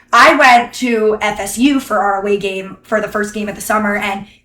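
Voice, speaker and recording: Her tone is bright and sharp, and the woman's intonation is monotone and flat. She keeps a moderate pace. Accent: Northeastern US. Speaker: college student. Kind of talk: interview. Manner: casual, filler-heavy.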